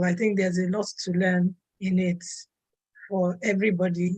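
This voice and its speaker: A woman speaks in a monotone, flat intonation. Her voice is somewhat breathy. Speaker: online meetup host. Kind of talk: casual chat.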